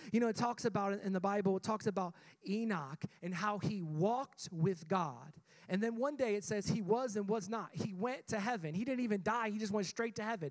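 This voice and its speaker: Fairly quick speech with ordinary pitch variation and a quiet background. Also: man, high pitch for a man. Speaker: pastor. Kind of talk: sermon. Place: church. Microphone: handheld.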